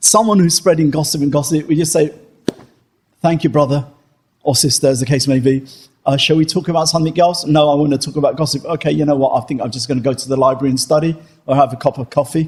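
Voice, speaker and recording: Somewhat breathy, a man with a fairly high pitch rushes along at a very fast pace with fairly even intonation. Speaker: Islamic teacher. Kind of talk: religious Q&A lecture. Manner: conversational, with many fillers.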